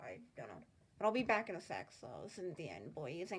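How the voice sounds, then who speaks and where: A woman talking at a very fast pace with lively intonation. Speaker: art youtuber. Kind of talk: tutorial. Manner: casual, filler words.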